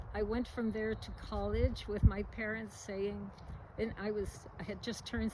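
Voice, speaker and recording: A woman with an American accent talks at a moderate pace. Audible room echo surrounds her voice. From US Northeast, New York City. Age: 80s+. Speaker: retired scientist, interviewee. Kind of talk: interview. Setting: at home.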